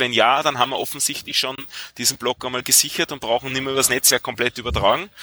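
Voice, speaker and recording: A man's voice with a dry, close sound and no echo. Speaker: software developer. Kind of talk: casual chat.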